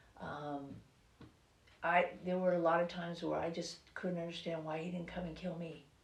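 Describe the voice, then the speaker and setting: A woman's fairly low-pitched voice with fairly even intonation, audible room echo and noticeable background noise. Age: 60s. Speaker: author. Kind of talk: interview. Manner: halting.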